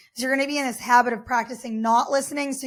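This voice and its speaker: In a very clean recording with a silent background, a woman talks at a very fast pace in an animated tone. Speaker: podcast host and life coach. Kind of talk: motivational podcast monologue.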